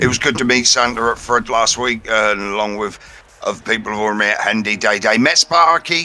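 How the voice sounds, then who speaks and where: With an English accent, a man talks fairly quickly against noticeable background noise. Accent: English accent, remarked on by viewer. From central England. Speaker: esports commentator. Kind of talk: live commentary. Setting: online voice call.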